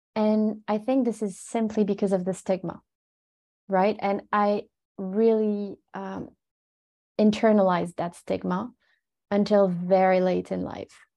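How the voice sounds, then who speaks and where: At a fairly slow pace, a woman talks in a medium pitch with a dark, mellow tone, flat monotone intonation and long, frequent pauses over a quiet background. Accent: French. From France, Paris suburbs. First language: French. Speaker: resilience and mental fitness expert. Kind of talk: interview.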